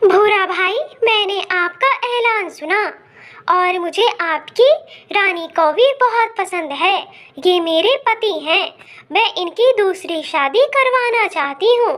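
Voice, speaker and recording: A woman uses a cartoonish character voice at an extremely high pitch and a very slow pace. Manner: sharp, demanding.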